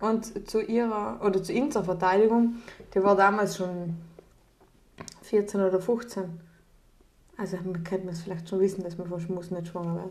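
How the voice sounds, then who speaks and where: With a strong Austrian accent, a woman at medium pitch talks at a moderate pace with ordinary pitch variation, big swings in loudness, and long, frequent pauses, all in audible room echo. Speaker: podcast co-host. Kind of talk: casual chat.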